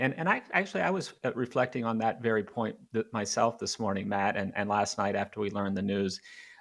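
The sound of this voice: A man speaks at a fairly quick pace with a fairly bright tone.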